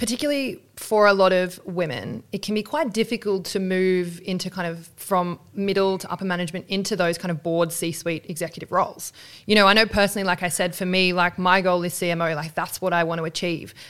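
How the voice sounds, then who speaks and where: A woman with a plain, everyday voice at medium pitch speaks at a fairly quick pace with ordinary pitch variation and hardly any pauses, in a very clean recording with a silent background. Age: 30s. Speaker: podcast host. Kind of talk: interview.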